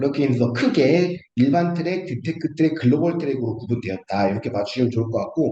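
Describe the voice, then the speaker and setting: Lively intonation and a dark, mellow tone mark this somewhat breathy voice, which moves at a very fast pace. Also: man, fairly high pitch for a man. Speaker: startup funding consultant. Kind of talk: online seminar lecture. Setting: video call. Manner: halting, many fillers.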